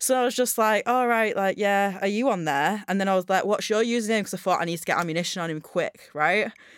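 A woman with a Northern English accent talks very fast at medium pitch with hardly any pauses and ordinary pitch variation, on a very clean recording with a silent background. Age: 30s. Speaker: podcast co-host. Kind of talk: casual chat.

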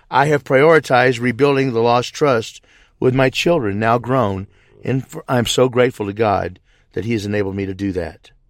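A man with an American accent and a plain, everyday voice speaks at a medium pitch and moderate pace with ordinary pitch variation, in a very clean recording with a silent background. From US South, southeast Missouri. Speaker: truck driver and lay theologian. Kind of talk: pre-recorded testimony.

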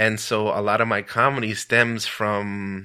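With a very clean recording and a silent background, a man with an American accent speaks in a fairly low, bright, sharp voice with fairly even intonation. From US-Mexico border, El Paso, Texas. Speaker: stand-up comedian and show host. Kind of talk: casual interview. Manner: halting, many fillers.

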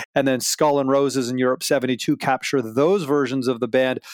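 A man with a fairly high voice speaks at a moderate pace in an ordinary speaking voice, the sound dry and close with no echo. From Canada. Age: 40s. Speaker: music archivist. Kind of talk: interview. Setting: remote audio call.

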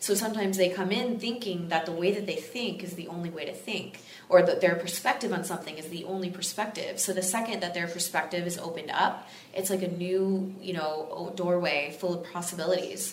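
Through audible room echo and noticeable background noise, a woman with an American accent and medium pitch talks at a fairly quick pace with hardly any pauses, fairly even intonation and big swings in loudness. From Texas. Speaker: fitness influencer and coach. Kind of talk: casual interview chat.

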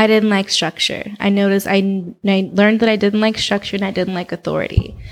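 With an American accent, a woman speaks fairly quickly at a medium pitch, her intonation monotone and flat. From Oakland, California. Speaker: model and artist. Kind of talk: casual interview chat. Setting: studio with microphones.

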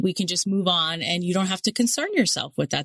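With an American accent, a woman speaks in a normal speaking voice at medium pitch, with ordinary pitch variation and a dry, close sound with no echo. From New York City (Queens). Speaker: podcast co-host. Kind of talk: casual chat.

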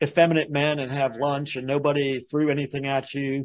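At a moderate pace, a man speaks in an ordinary speaking voice, fairly high-pitched, over a quiet background. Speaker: podcast host. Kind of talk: interview.

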